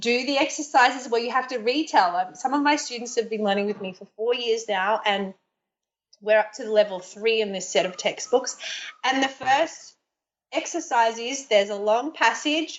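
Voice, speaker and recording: A woman with an Australian accent, fairly high pitch, ordinary pitch variation, big swings in loudness and a moderate pace. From Australia, Brisbane. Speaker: yoga teacher and Chinese tutor. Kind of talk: interview. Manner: conversational, with fillers and restarts.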